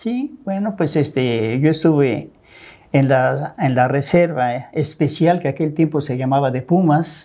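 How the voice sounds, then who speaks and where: A man speaks at a fairly slow pace in a fairly high pitch. His tone is dark and mellow, with ordinary pitch variation. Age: 70s. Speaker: businessman, host's father. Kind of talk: interview storytelling.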